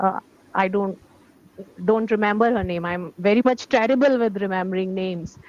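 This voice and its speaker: A woman with an Indian accent speaks at a moderate pace in a medium pitch with ordinary pitch variation. Her speech has long, frequent pauses. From India, Delhi. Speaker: English teacher, language learner. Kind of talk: English conversation practice.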